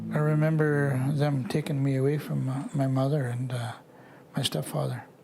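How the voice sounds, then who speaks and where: Recorded with noticeable background noise and audible room echo, a man speaks in a fairly high voice. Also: moderate pace. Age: 60s. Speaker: residential school survivor. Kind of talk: testimony. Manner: halting.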